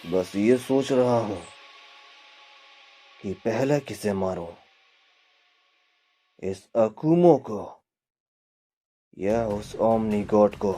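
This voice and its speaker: A man speaks at a fairly low pitch with ordinary pitch variation. Long, frequent pauses break up his speech. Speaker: fan manga narrator. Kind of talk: fan-made manga story narration. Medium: read story.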